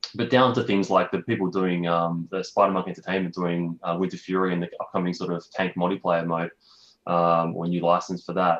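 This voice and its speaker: Fairly even in intonation, a man speaks with a very deep, low pitch. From Australia. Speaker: game company founder. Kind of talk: interview. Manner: fast.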